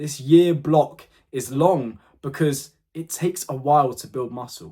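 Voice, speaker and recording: Somewhat breathy and dark, mellow in tone, a man speaks at a fairly high pitch with ordinary pitch variation. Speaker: fitness content creator. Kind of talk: motivational talk to camera. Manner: fast; animated.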